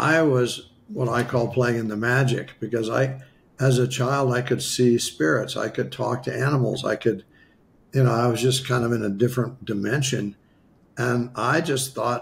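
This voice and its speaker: A man speaks at a moderate pace and medium pitch with an American accent. His voice is somewhat breathy, with ordinary pitch variation. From US Midwest, western South Dakota. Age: 70s. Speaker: spiritual healer. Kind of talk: interview storytelling.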